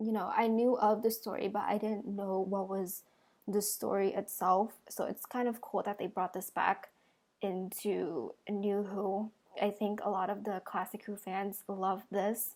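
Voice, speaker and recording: In a monotone, flat delivery, a woman speaks at medium pitch and a fairly slow pace. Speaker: reaction video creator. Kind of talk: video reaction review.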